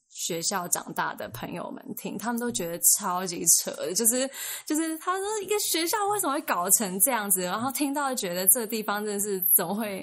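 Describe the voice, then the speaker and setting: Over noticeable background noise, a woman talks at a moderate pace with hardly any pauses. Her fairly high voice makes very wide pitch swings. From Taiwan. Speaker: former international school student. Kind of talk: casual chat.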